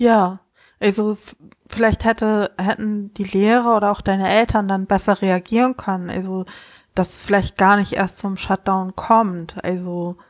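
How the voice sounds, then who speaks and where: Recorded with a dry, close sound and no echo, a woman at medium pitch talks in a monotone, flat intonation at a fairly slow pace. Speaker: podcast co-host. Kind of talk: casual chat. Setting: remote call.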